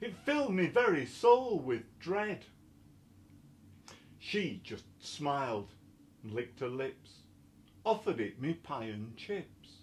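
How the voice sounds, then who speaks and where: Speaking at a very slow pace with long, frequent pauses, a man with a Yorkshire accent swings widely in both pitch and loudness. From Yorkshire, England. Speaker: poet. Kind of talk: poetry reading. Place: home room. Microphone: webcam.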